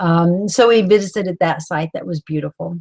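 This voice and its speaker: In a Southern US accent, a woman speaks with a dry, close sound and no echo. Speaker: author leading a book club. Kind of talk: live-stream book club talk. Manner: halting, many fillers.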